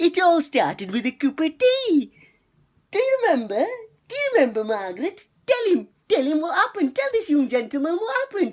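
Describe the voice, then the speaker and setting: A man puts on a character voice at an extremely high pitch. He moves at a fairly quick pace, and his pitch swings very widely. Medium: solo performance. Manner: preachy.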